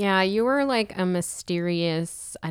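At a fairly slow pace, an unremarkable speaking voice with an American accent comes through on a very clean recording with a silent background. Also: woman. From Pittsburgh, US. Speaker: podcast co-host, youth minister. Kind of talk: casual chat. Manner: laughs often.

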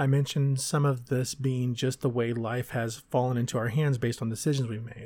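A somewhat breathy man at medium pitch with an American accent, moderate pace, and a very clean recording with a silent background. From Texas. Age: 40s. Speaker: podcaster. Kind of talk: personal monologue.

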